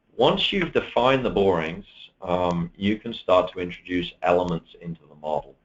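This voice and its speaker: A man with a British accent at a moderate pace, with very wide pitch swings. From UK. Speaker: software presenter. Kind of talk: webinar product demo. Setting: online webinar.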